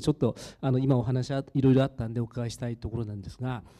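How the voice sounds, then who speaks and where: A man speaks at medium pitch. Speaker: audience member asking a question. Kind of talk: audience question. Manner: halting.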